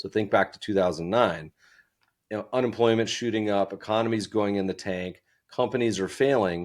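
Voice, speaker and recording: In a normal speaking voice, a man with fairly low pitch talks at a fairly quick pace with fairly even intonation, recorded very cleanly against a silent background. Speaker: investment fund founder and podcast host. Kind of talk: interview conversation.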